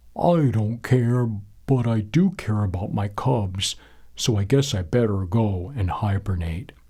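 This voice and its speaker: A put-on character voice moves at a fairly slow pace in a very clean recording with a silent background. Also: man, fairly low pitch for a man. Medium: read story.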